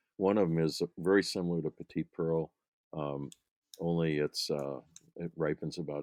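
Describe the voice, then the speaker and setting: Speaking at a moderate pace with fairly even intonation, a man has a very deep, low pitch, and the sound is dry and close with no echo. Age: 70s. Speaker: grape breeder. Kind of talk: interview. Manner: halting, many fillers.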